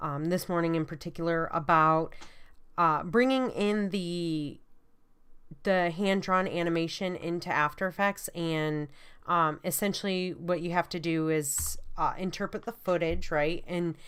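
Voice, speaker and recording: A woman with a strong Michigan accent speaks at a fairly slow pace, fairly low in pitch and with fairly even intonation. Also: very clean recording, silent background. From US Midwest, Michigan. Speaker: college art instructor. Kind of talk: lecture. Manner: many fillers (um, uh).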